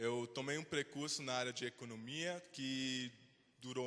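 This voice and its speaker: This man talks at a fairly slow pace. His voice has a fairly high pitch and a bright, sharp tone. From Switzerland. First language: Swiss German (speaking Portuguese). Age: 20s. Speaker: invited speaker. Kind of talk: talk to students.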